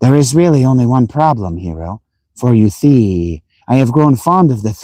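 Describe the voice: Plain reading aloud with lively intonation. The background stays quiet.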